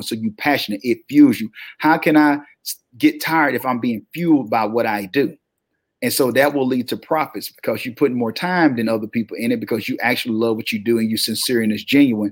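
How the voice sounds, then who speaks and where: A man speaks at a fairly quick pace with a Southern US accent. His medium-pitched voice has an animated tone. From US South. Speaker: motivational speaker and publishing entrepreneur. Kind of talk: interview.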